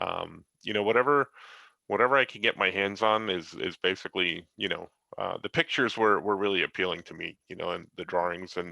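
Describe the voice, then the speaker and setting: A man speaks at a fairly low pitch. He keeps a fairly quick pace, with ordinary pitch variation. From United States, Italian immigrant family. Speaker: comic book artist and high school teacher. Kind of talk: interview. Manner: halting, many fillers.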